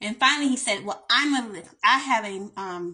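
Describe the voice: Her tone is bright and sharp, at a medium pitch for a woman. She speaks at a fairly slow pace with ordinary pitch variation.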